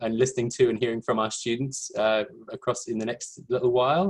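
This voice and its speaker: A man with an English accent speaks at a fairly quick pace in a medium pitch. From England, London. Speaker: education administrator. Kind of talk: webinar presentation. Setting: video call.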